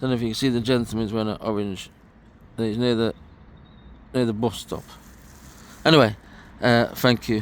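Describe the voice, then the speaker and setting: With an East Midlands accent, a man of medium pitch talks at a fairly quick pace in a monotone, flat intonation, leaving long, frequent pauses. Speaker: vlogger walking historic sites. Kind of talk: walking vlog narration. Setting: outdoors. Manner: casual, halting with repetitions.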